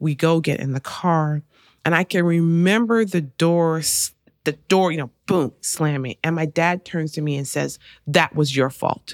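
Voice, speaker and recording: A woman with an American accent and a plain, everyday voice speaks at a fairly slow pace and fairly low pitch with ordinary pitch variation, in a dry, close sound with no echo on a very clean recording with a silent background. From Arkansas, US South. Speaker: college president and podcast host. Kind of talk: interview conversation.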